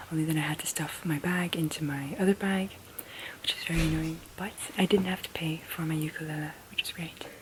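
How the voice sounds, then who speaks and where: Soft-spoken and fairly low-pitched, a woman talks at a moderate pace with fairly even intonation. Noticeable background noise sits behind her. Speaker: vlogger. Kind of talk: casual vlog talk.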